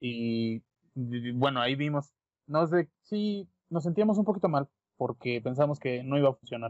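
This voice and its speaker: A man speaks in an ordinary speaking voice at fairly high pitch. His pace is fairly slow and his intonation lively. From Mexico. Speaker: podcast co-host. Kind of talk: casual chat.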